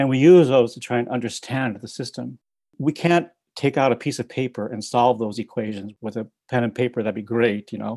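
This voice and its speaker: Speaking at a fairly quick pace, a man has a dark, mellow tone and ordinary pitch variation, with a dry, close sound and no echo. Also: medium pitch for a man, quiet background. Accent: American. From US Midwest. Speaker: climate scientist. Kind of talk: interview.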